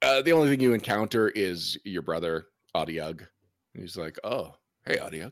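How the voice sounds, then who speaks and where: In a very clean recording with a silent background, a man with fairly low pitch talks at a moderate pace, his pitch swinging very widely. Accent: Canadian. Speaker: game master. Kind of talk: tabletop role-playing game session.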